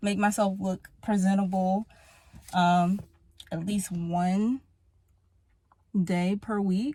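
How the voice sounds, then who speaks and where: Somewhat breathy and dark, mellow in tone, a woman's medium-pitched voice moves at a very slow pace with fairly even intonation and long, frequent pauses. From Pennsylvania, US. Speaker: vlogger. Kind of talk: casual vlog talk. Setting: in a car.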